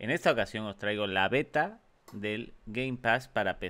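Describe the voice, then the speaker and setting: A man at a fairly slow pace, with ordinary pitch variation. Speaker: gaming youtuber. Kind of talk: casual gaming commentary.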